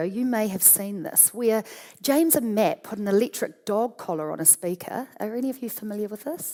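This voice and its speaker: Someone talks at a very fast pace in an animated tone with a New Zealand accent, over noticeable background noise. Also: woman. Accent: Kiwi accent, ramped up. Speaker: radio marketing executive. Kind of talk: conference talk. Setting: stage with audience.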